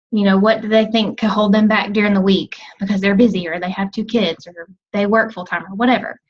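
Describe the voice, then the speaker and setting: The voice is somewhat breathy and flat, with monotone intonation, delivered at a very fast pace. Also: woman, medium pitch for a woman. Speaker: team coach. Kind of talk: team call presentation.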